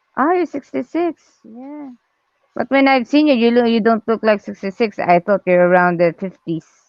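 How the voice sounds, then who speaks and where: A woman's fairly high voice in a non-native accent, with very wide pitch swings, at a moderate pace. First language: not English. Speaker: artist livestreaming drawing. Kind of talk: casual chat.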